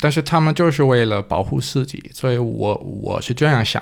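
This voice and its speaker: A man with a non-native accent talks with lively intonation. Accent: foreign accent in Mandarin. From Denmark. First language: Danish (speaking Chinese). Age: 20s. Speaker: guest, foreign husband. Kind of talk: casual chat. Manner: halting, repeats words.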